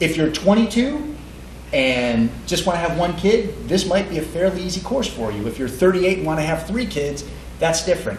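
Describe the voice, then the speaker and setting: Amid noticeable background noise and audible room echo, a man speaks at a high pitch with very wide pitch swings. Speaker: sperm bank representative at an educational seminar. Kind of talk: seminar talk to an audience. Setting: event with live audience. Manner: fast; hesitant, many fillers and repeats.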